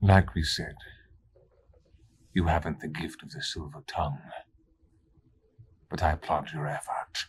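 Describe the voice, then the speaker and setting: Putting on a character voice with a very deep, low pitch, a man speaks with long, frequent pauses. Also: moderate pace. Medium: actual play. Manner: slow, condescending, menacing.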